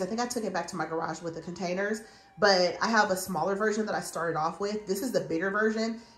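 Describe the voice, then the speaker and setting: There is audible room echo around this woman. She talks at a very fast pace. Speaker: home decor vlogger. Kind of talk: casual vlog chat. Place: home room. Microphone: phone near.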